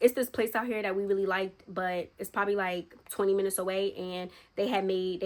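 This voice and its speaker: Her tone animated, a woman speaks at a medium pitch. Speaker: YouTuber. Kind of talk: storytime vlog. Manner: fast.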